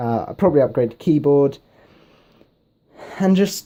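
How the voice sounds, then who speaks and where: A man with a British accent, a dark, mellow tone, a fairly high pitch and lively intonation. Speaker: gaming YouTuber. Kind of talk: casual vlog talk to camera. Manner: rambling with many fillers.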